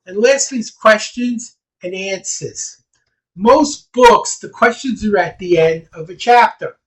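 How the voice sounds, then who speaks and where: A man talks loudly in a high voice. His pitch varies in an ordinary way. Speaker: speed reading teacher. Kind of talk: presentation on a video call. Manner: animated.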